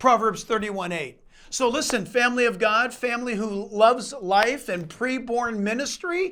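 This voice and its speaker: A man speaks at a high pitch. The recording is very clean, with a silent background. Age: 60s. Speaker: pastor. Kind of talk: testimony and fundraising appeal.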